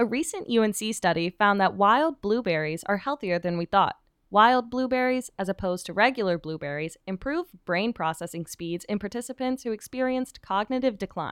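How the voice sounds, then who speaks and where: A woman's plain, everyday voice, medium-pitched, with lively intonation, a moderate pace and hardly any pauses, in a dry, close sound with no echo. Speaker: radio host. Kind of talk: student radio news show. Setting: studio.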